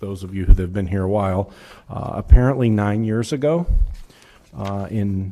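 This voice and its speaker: A man speaks at a fairly low pitch with a dark, mellow tone and ordinary pitch variation. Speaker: city administrator. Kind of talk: council meeting report. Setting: city council meeting. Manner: loud; hesitant, many fillers. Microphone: muffled, too close to mic.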